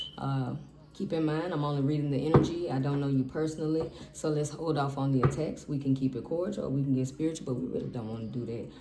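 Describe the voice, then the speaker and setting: Very fast speech over noticeable background noise. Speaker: tarot reader. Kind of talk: tarot reading. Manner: casual, profane; stumbling over words.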